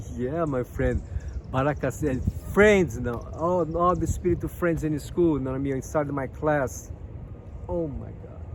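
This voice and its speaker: With a Brazilian accent, a man speaks with ordinary pitch variation. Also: fairly high pitch for a man, moderate pace. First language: Portuguese. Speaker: spiritual guidance youtuber. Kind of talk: casual vlog monologue. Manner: halting, repetitive fillers; animated.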